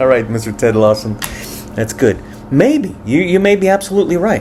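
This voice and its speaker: A man's lively intonation carries at a moderate pace through noticeable background noise. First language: Spanish. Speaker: musician and commentator. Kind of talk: reacting to viewer comments. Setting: home with family present. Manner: animated.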